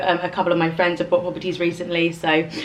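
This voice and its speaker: A woman with a London accent speaks at a fairly low pitch against noticeable background noise. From London, England. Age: 30s. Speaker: lifestyle vlogger. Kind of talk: casual chat. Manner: casual, filler-heavy.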